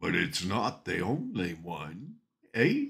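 The background stays quiet while a man talks very slowly. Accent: Canadian. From Ontario, Canada. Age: 70s. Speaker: storyteller vlogger. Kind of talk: casual vlog chat, personal storytelling. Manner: rambling, folksy. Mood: reflective, nostalgic. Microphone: webcam.

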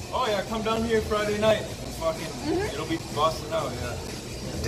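The speech moves at a fairly slow pace against loud background noise. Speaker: local showing a visiting streamer around town. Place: bar. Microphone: phone near.

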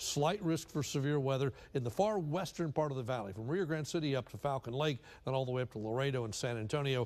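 With lively intonation, a man rattles along at a very fast pace. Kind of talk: weather forecast presentation. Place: studio.

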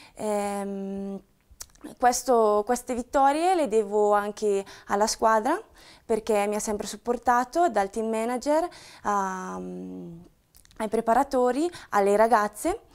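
A woman speaks very slowly at a fairly high pitch with ordinary variation. She pauses long and often against a quiet background. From northern Italy, Brescia province; Italy. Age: 20s. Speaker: professional cyclist. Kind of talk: self-introduction to camera. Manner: some hesitation fillers. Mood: calm, grateful. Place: empty room. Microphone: lapel.

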